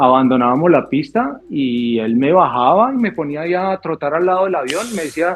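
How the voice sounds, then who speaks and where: A man's fairly high-pitched voice at a moderate pace, with lively intonation. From Colombia, Bogotá. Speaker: airline pilot, former air force officer. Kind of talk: podcast interview. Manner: halting, repeats words.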